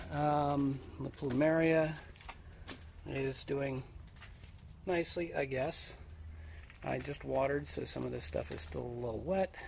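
The speech moves at a fairly slow pace. Light background noise is present. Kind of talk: casual vlog chat. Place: garden. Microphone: phone near.

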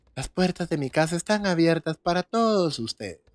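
In a Guatemalan accent, a man speaks fairly slowly at a fairly high pitch, the sound dry with no echo against a quiet background. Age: 20s. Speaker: gaming streamer. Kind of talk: live gameplay stream chat. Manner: animated. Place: home room.

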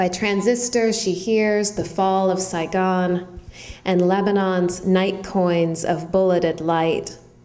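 Against noticeable background noise, a woman talks very slowly at a medium pitch, her intonation monotone and flat and her loudness very even. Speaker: poet. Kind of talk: poetry reading. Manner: measured, deliberate reading of dense lyric lines; conversational, slightly hesitant in intros with many ums.

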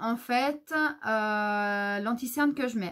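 A woman speaks at a very slow pace. Her pitch shows ordinary variation. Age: 30s. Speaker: beauty youtuber. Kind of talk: product haul review. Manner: hesitant, many filler sounds. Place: home room. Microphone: camera far.

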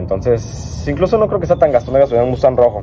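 A man speaks over light background noise. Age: 20s. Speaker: car vlogger, engineering student; car vlogger. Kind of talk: casual vlog monologue. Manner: rambling, hesitant with fillers. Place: garden.

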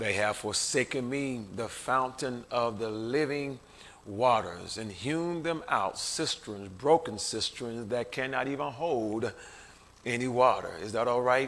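Ordinary pitch variation marks a man's speech, delivered at a fairly slow pace. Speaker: preacher. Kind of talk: sermon. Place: church. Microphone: podium.

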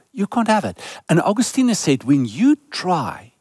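A man's fairly slow speech with very wide pitch swings, a dry sound with no echo, and a quiet background. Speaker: preacher. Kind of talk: sermon. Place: stage. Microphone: headset.

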